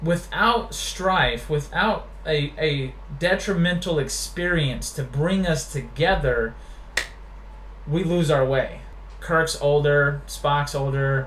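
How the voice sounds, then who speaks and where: A man at a very slow pace and very even loudness, with audible room echo and noticeable background noise. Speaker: web show host, Iraq war veteran. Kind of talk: casual chat.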